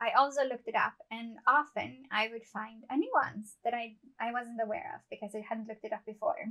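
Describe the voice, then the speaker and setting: A woman with a non-native accent talks at a fairly quick pace with hardly any pauses, her fairly high pitch showing ordinary variation, her tone bright and sharp, and her loudness swinging widely. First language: not English. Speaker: amateur writer and book channel host. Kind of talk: scripted monologue to camera.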